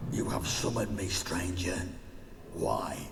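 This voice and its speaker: A man in a put-on character voice at a moderate pace, with clear echo and loud background noise. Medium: game stream. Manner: cold, threatening.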